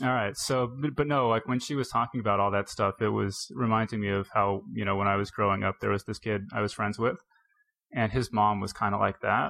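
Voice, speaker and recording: Speaking fairly quickly in an unremarkable speaking voice, a man with a fairly low pitch keeps his intonation fairly even. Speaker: podcast host. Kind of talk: casual interview and intro.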